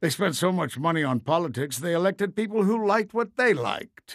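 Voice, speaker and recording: Recorded very cleanly with a silent background, a man speaks at a high pitch. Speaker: narrator. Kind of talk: storybook-style narration for animated short.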